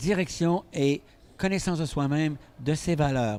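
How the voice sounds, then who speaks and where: His tone is dark and mellow. A man speaks with ordinary pitch variation. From Quebec. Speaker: physician and stress expert. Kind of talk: interview.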